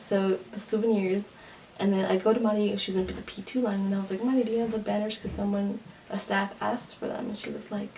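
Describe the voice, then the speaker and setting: A woman at medium pitch in a flat monotone, at a very fast pace, over noticeable background noise. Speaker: YouTuber, K-pop fan. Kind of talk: casual vlog monologue. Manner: halting, filler-heavy.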